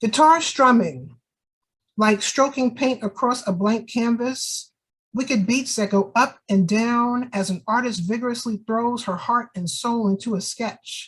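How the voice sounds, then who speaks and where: A woman with a New York accent talks at a fairly slow pace, her fairly high pitch moving with ordinary pitch variation. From New York (Jamaica, Queens). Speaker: poet. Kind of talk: casual talk about her books; poetry reading.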